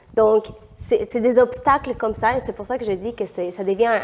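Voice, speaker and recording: A woman speaks at a fairly quick pace in a fairly high pitch, with noticeable background noise behind her. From Peru. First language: Spanish (speaking French). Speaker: economist and feminist activist. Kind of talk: podcast interview. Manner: hesitant, many fillers.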